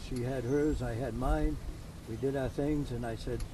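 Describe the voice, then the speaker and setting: Someone with a Maine accent speaks at a moderate pace amid audible room echo. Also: man. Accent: New England (Maine) American. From Maine, US. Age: 70s. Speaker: retired car builder and racer. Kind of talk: casual interview. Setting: outdoors.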